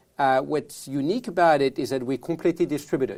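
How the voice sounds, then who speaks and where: With a French accent, a man speaks at a fairly high pitch and a fairly quick pace, his tone dark and mellow with ordinary pitch variation, in a very clean recording with a silent background. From France. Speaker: tech entrepreneur. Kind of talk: podcast interview. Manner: halting, with repetitions.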